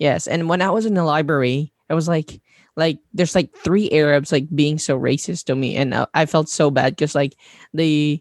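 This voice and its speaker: Dry and close with no echo over a quiet background, a man with a Filipino accent talks at a moderate pace and fairly high pitch, with fairly even intonation and very even loudness. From Mindanao, Philippines. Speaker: content creator. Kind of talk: casual interview chat. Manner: hesitant, many fillers and laughs.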